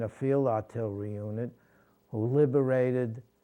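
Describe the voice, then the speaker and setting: In a New York accent, a man with a medium pitch and a dark, mellow tone speaks with fairly even intonation. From New York City (Brooklyn). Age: 80s+. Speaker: war veteran. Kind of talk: interview testimony. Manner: halting.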